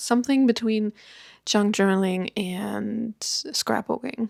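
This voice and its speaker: In a very clean recording with a silent background and a dry, close sound with no echo, a woman speaks at a fairly slow pace with fairly even intonation and a relaxed tone. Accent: German. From Germany. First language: German. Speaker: YouTuber. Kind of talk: casual chat.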